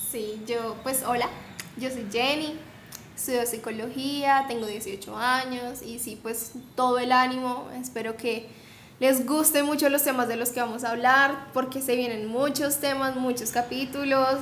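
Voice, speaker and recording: A woman talks at a fairly slow pace in a high, monotone, flat voice. Room echo is audible. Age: young. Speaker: podcast co-host, psychology student. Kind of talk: casual chat.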